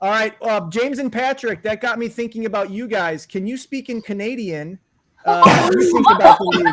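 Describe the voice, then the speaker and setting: Speaking at a fairly quick pace with a slight Chicago accent, a man uses a high pitch and ordinary pitch variation. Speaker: fantasy league host. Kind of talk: casual chat.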